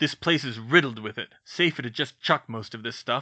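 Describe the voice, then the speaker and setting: A man puts on a character voice that is growling and gruff. His pitch sits at a medium level, and his pace is moderate. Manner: gruff, curt.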